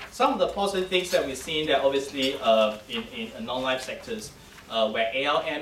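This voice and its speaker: A man talks at a fairly quick pace with lively intonation. Noticeable background noise and audible room echo surround him. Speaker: insurance ratings analyst. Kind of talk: conference presentation. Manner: fast; halting.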